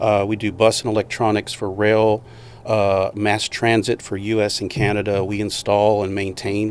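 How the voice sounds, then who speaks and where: A man's fairly low voice holds a monotone, flat intonation. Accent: American. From Houston, Texas. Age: 50s. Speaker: entrepreneur. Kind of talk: podcast interview.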